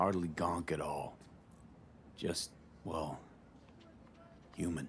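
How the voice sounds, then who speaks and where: Clear background noise surrounds a man putting on a raspy character voice. His pitch is very deep and low, and he speaks very slowly. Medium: video game. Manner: low-key, earnest.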